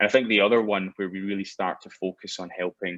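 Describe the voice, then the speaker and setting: A man's very deep, low voice in a monotone, flat intonation, with a dry, close sound and no echo. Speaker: biometrics company founder. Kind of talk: interview.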